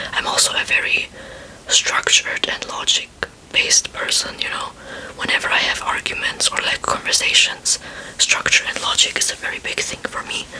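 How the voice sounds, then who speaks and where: Moderately paced whispering with noticeable background noise. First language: not English. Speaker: ASMR creator. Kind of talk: talking ASMR chat. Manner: soft-spoken.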